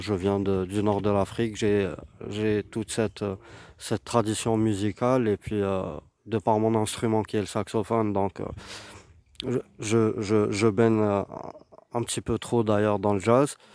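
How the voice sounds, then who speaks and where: A man speaks very slowly in a flat monotone, fairly low in pitch with a dark, mellow tone. He leaves long, frequent pauses. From Algeria, Algiers. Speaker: saxophonist. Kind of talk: interview testimony. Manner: halting, many repetitions.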